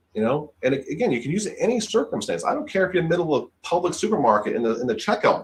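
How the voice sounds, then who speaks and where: A high-pitched man at a very fast pace with very wide pitch swings. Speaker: insurance sales trainer. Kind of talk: webinar presentation. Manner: halting.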